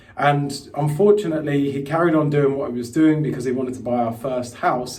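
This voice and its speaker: A man with an English accent speaks with fairly high pitch and fairly even intonation, with audible room echo and noticeable background noise. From England, London. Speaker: crypto investment coach. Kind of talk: live webinar presentation. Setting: live online stream. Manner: casual, with frequent fillers.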